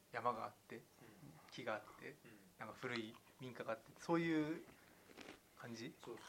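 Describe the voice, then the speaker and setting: A man of medium pitch speaks at a moderate pace, leaving long, frequent pauses. His pitch varies in an ordinary way while his loudness swings widely. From western Tokyo, Tanashi. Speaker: podcast co-host. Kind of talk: casual chat.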